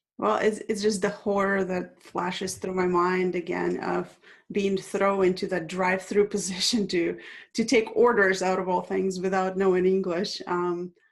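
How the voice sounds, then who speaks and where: A woman with a Russian accent speaks at a moderate pace and medium pitch in a monotone, flat intonation. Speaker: international speaker. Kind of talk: interview.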